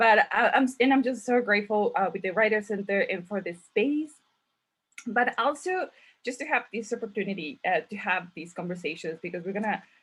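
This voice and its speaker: In a Mexican accent, a woman speaks at a fairly quick pace with a fairly high pitch and lively intonation against a quiet background. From Mexico. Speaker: author and event host. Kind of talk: virtual panel conversation. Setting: video call. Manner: halting, many fillers.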